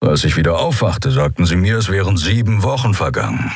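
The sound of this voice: Someone reads in an unforced reading voice, the pitch varying in an ordinary way.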